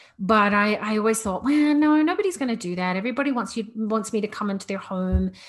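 The speech has lively intonation. A somewhat breathy quality colors the voice. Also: woman. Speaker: podcast host on decluttering and minimalism. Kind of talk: casual solo monologue. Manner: even, level delivery; chatty with many fillers.

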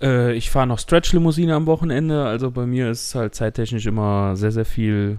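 On a very clean recording with a silent background, a man with a dark, mellow tone speaks at a medium pitch with ordinary pitch variation. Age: 20s. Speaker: podcast co-host, IT technician. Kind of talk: casual chat.

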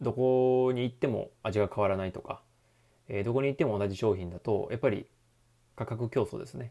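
The recording is very clean, with a silent background. A man talks at a fairly quick pace and medium pitch with ordinary pitch variation. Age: 30s. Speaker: personal trainer and youth baseball coach. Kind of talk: solo talk monologue. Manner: hesitant, many fillers.

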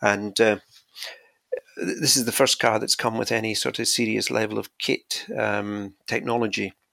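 Speaking with a Scottish accent, a man keeps to a moderate pace. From Scotland. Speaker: podcast guest, tech enthusiast. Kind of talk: casual chat.

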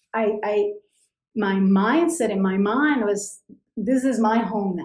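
Speech in a Spanish accent comes at a very slow pace with ordinary pitch variation. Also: woman. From Colombia, Cali. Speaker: immigrant sharing life story. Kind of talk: interview. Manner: halting, many repetitions.

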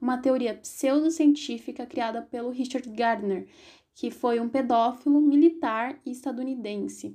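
A woman talks at a moderate pace with high pitch. Her tone is dark and mellow, her intonation fairly even. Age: 20s. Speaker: activist and social science student. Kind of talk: podcast interview.

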